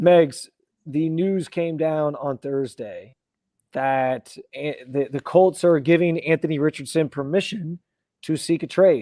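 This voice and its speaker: A man's fairly high voice with a dark, mellow tone and fairly even intonation. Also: fairly slow pace, dry, close sound with no echo. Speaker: sports podcast host. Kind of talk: casual sports podcast chat. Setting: remote video call, hotel room.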